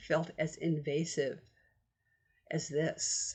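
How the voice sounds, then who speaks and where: Vocal fry runs through this woman's fairly low-pitched voice. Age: 70s. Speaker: vlogger. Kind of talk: casual chat. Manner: conversational.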